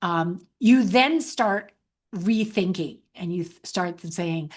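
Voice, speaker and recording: Against a quiet background, a woman with a medium pitch talks at a fairly slow pace. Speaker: webinar presenter on healthcare hiring. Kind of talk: webinar presentation. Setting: online webinar. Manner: halting with repetitions.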